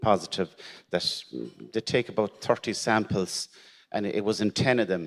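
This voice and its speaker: A man with an Irish accent speaks with fairly even intonation. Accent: Irish, Gaeltacht. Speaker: teacher sharing cancer story. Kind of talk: personal testimony at conference. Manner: halting, repeats words.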